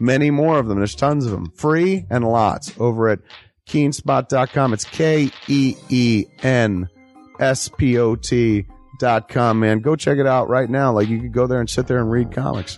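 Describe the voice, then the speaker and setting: Faint music sits in the background as a man speaks at a medium pitch and a moderate pace, with ordinary pitch variation and a dry sound with no echo. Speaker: filmmaker, podcast host. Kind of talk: improvised radio ad read. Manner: casual, joking. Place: studio.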